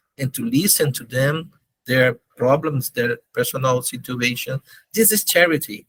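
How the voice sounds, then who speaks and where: A man with a Brazilian Portuguese accent talks at a fairly slow pace in a fairly high voice with lively intonation, the sound dry and close with no echo. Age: 50s. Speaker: charity organization leader. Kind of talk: interview. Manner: halting, searching for words.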